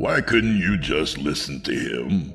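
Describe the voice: A man puts on a character voice with an extremely low pitch, vocal fry, a fairly bright tone and big pitch swings. He speaks at a slow pace over faint music in the background.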